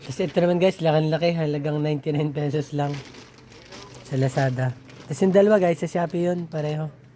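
Over noticeable background noise, the voice moves at a fairly quick pace with fairly even intonation. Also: man, fairly high pitch for a man. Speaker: vlogger. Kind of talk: unboxing video. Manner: casual, conversational.

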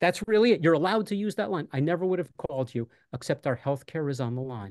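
The speaker has an American accent and a very fast pace, with very wide pitch swings. The background is quiet. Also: man. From New York City. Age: 60s. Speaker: retired teacher, union candidate. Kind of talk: casual chat. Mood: earnest, persuasive. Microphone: video call.

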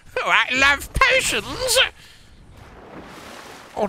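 Extremely high pitch in a put-on character voice.

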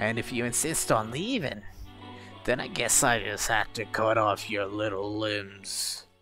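A man uses a put-on character voice that is raspy and sits at a medium pitch. Faint music can be heard in the background. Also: moderate pace. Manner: sweetly menacing, taunting.

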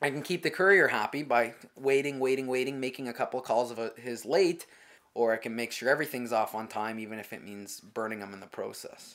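With a Canadian accent and a normal speaking voice, a man talks at a fairly quick pace and medium pitch, showing ordinary pitch variation and big swings in loudness. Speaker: courier dispatcher. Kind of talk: interview about courier dispatch work.

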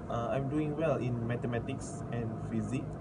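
A man amid loud background noise. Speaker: university student tutor. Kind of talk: self-introduction. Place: home room. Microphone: phone near.

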